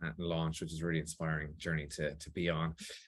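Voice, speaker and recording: In a quiet background, a man with an Irish accent talks at a very fast pace. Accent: Irish, still clear. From Ireland (Athlone, Midlands). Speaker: biotech CEO. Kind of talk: interview. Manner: hesitant, many fillers and repeats.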